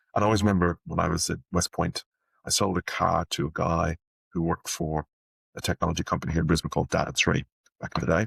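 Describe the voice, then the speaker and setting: In a very clean recording with a silent background and a dry, close sound with no echo, a man with an Irish accent and a very deep, low pitch speaks at a very fast pace with fairly even intonation. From Ireland, Dublin. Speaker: sales leader and art dealer. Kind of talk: interview.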